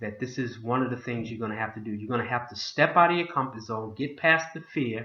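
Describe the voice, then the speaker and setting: This man has an ordinary speaking voice at a medium pitch, with ordinary pitch variation. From Boston, US. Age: 60s. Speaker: motivational vlogger, home business promoter. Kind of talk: motivational talk to camera.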